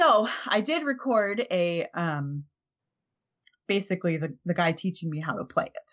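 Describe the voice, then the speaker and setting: A woman with an American accent and an unremarkable speaking voice, medium in pitch, fairly slow in pace, with lively intonation. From Minnesota. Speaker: podcaster, convention media. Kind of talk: casual chat.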